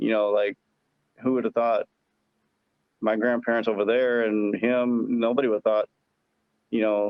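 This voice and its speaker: The speaker has an American accent and a moderate pace. The intonation is monotone and flat, broken by long, frequent pauses. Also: man, medium pitch for a man. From Arkansas, US South. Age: 40s. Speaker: tournament angler. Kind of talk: podcast interview. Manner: casual, hesitant with repetitions.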